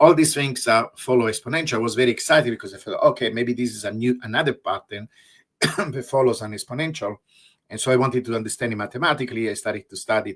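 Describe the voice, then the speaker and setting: In a very clean recording with a silent background, a man talks very fast at medium pitch with ordinary pitch variation. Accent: Italian. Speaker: researcher. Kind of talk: interview.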